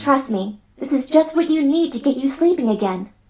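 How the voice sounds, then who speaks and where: A female-sounding cartoonish character voice is pitched high for a woman. The pace is moderate. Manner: warm, reassuring.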